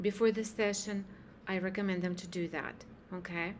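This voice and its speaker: A woman with a non-native accent. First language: not English. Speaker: hypnosis practitioner. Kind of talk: spiritual talk to camera. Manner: halting.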